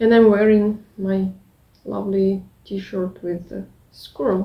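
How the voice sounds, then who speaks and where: A woman with a non-native accent speaks very slowly at a medium pitch. Her tone is dark, mellow and somewhat breathy, with monotone, flat intonation. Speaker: craft vlogger. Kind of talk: casual vlog. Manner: halting.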